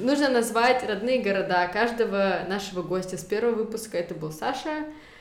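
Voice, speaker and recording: Noticeable background noise sits behind a woman's voice. She talks fairly quickly with ordinary pitch variation. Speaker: podcast co-host. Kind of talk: casual chat.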